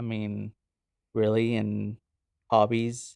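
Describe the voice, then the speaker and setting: A man with a Spanish accent at a fairly slow pace, dry and close with no echo, over a quiet background. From Oklahoma City, US. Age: 20s. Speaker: podcast guest sharing faith testimony. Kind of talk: casual interview, personal testimony.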